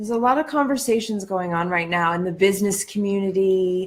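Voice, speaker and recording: Her voice sits at a medium pitch. Nothing can be heard behind her on this very clean recording. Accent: American. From Ohio, US Midwest. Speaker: life coach and speaker. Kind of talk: live-stream monologue. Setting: Facebook live stream. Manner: deliberately slower than usual.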